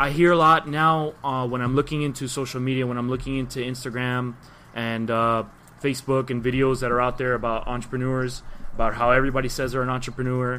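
A man with a Miami accent, medium pitch and a very fast pace. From Miami, Florida. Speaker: podcast guest. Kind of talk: casual chat. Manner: animated.

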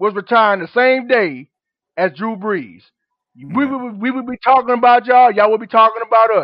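A man with an extremely high pitch speaks at a moderate pace. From Gulfport, Mississippi. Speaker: caller. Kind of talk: phone-in call.

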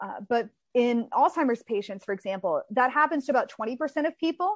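A woman with an American accent speaks in an ordinary speaking voice with lively intonation. The sound is dry and close with no echo, over a quiet background. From Texas. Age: 30s. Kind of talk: interview. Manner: fast.

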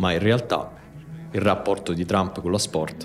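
Over music in the background, a man speaks at a moderate pace in a very deep, low voice with ordinary pitch variation. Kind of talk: scripted narration. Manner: measured, explanatory.

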